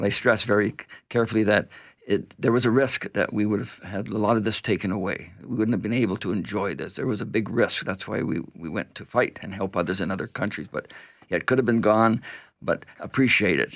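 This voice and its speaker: With a Canadian accent, a man talks fairly quickly in a normal speaking voice, fairly low in pitch with ordinary variation, on a very clean recording with a silent background. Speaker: event organizer and veteran's son. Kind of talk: radio interview. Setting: radio studio.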